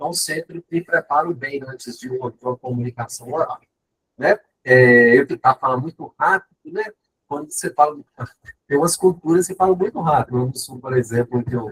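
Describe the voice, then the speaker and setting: A man with a Minas Gerais accent, big swings in loudness and ordinary pitch variation, in a dry, close sound with no echo. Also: fairly high pitch for a man, moderate pace. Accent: mineiro Brazilian Portuguese. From Minas Gerais, Brazil. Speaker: professor. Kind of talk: lecture.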